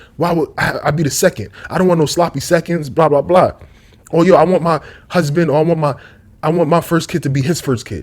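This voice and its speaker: This man talks at a fairly quick pace, his pitch fairly high and his intonation fairly even. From New York, Brooklyn. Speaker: YouTube commentator. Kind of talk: casual monologue vlog. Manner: rambling, tangential.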